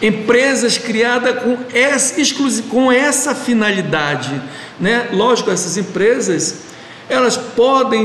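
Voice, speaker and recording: A man speaks at a very slow pace in a high pitch. Noticeable background noise and audible room echo fill the recording. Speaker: meeting leader of a church study group. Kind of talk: online group meeting discussion. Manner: halting, with many repetitions.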